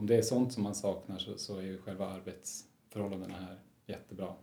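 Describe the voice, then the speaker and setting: A man's fairly low voice at a fairly quick pace, dark and mellow in tone, with audible room echo. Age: 30s. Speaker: resident doctor in psychiatry. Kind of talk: interview.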